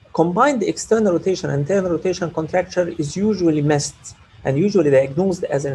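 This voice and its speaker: A man's normal speaking voice with lively intonation at a fairly quick pace. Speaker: orthopaedic surgeon. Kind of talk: lecture.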